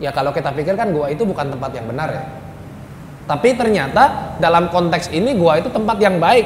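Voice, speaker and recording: A man speaks at a fairly high pitch, with audible room echo. Noticeable background noise is present. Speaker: Islamic preacher. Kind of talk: sermon.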